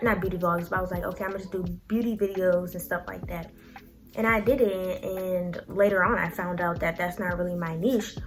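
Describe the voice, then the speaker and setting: Music plays behind a woman of medium pitch who talks at a fairly quick pace with fairly even intonation, her voice carrying audible room echo. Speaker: YouTuber and clothing business owner. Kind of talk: casual motivational talk to camera.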